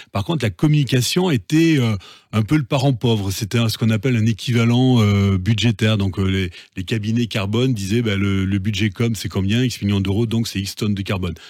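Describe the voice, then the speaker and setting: A man's fairly low voice at a fairly quick pace, with ordinary pitch variation, in a very clean recording with a silent background. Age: 50s. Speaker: entrepreneur. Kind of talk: interview. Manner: halting, repeats words.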